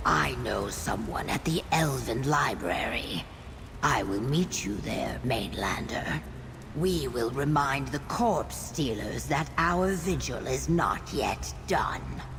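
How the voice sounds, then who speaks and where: A put-on character voice moves at a fairly slow pace through loud background noise. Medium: video game. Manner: resolute.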